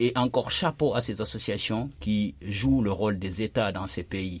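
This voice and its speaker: A somewhat breathy man at fairly low pitch with ordinary pitch variation, on a very clean recording with a silent background. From Guinea. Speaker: journalist and documentary maker. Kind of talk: radio panel discussion.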